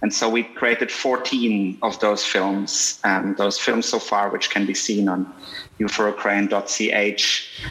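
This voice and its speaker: With noticeable background noise behind him, a man speaks at a very slow pace, fairly low in pitch, with very even loudness and a monotone, flat intonation. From Switzerland. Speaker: filmmaker. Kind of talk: panel discussion. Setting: video call.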